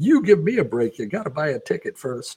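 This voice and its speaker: The put-on character voice rattles along at a fairly quick pace. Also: man. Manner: booming, stern.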